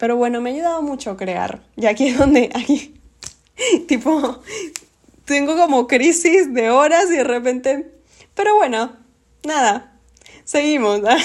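The woman's pitch is high and her tone animated, with lively intonation. She talks at a fairly slow pace, leaving long, frequent pauses. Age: 20s. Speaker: podcast host. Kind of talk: casual monologue.

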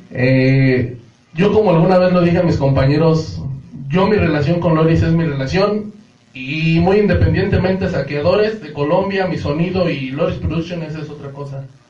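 Moderate pace and ordinary pitch variation from a man with a fairly high voice, plus audible room echo and noticeable background noise. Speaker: dance organization member. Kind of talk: casual chat.

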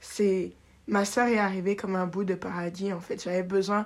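The tempo is moderate. Everything is delivered in a flat monotone. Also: woman. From Paris, France, raised in Benin. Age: 20s. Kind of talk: personal testimony, faith storytelling, unscripted. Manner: reflective, halting, sincere, emotional; spontaneous, laughs often, self-correcting.

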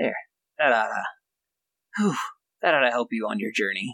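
A man's put-on character voice at a medium pitch and a moderate pace. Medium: actual play. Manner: soft-spoken, hesitant.

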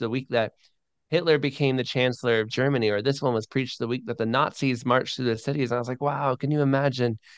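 A man speaks at a very fast pace with an American accent. The background is quiet. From Florida, US. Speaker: missionary and podcaster. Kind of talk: interview conversation. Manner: animated.

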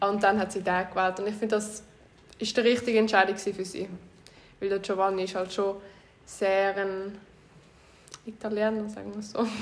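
Delivery is monotone and flat, broken by long, frequent pauses. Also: woman, medium pitch for a woman, moderate pace. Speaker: podcast host. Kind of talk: casual chat.

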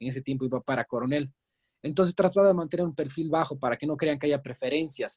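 A man's somewhat breathy, fairly high voice at a very fast pace, with ordinary pitch variation and a dry, close sound with no echo. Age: 30s. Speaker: real estate agent. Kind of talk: interview.

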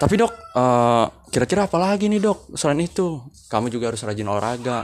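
A man speaks at a moderate pace with lively intonation in a normal speaking voice. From Bekasi, Indonesia. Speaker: student comedian doing a monologue. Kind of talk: comic monologue.

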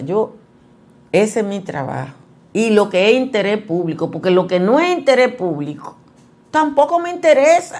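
A woman speaks with a fairly high pitch and very wide swings in her pitch. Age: 60s. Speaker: journalist and news commentary host. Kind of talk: news commentary.

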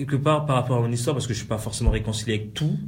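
Somewhat breathy and at a medium pitch, a man rushes along at a very fast pace with lively intonation, with audible room echo around him. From Republic of the Congo (Brazzaville, Pointe-Noire). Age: 20s. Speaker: DJ. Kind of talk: interview. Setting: in-person recording.

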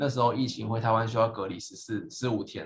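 A man speaks in a somewhat breathy voice. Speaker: PhD graduate, podcast co-host. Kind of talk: casual chat.

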